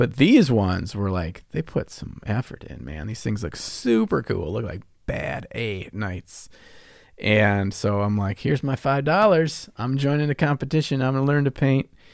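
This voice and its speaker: A man with an American accent speaks in an ordinary speaking voice at medium pitch and a moderate pace, his intonation lively, on a very clean recording with a silent background. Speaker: podcast co-host, miniature painting hobbyist. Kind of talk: casual chat. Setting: basement recording, video. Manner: joking, playful.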